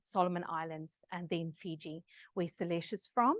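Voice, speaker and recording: A woman with an Afrikaans accent, at a moderate pace and with fairly even intonation. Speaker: researcher presenter. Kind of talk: online masterclass presentation. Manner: many filler words, hesitant.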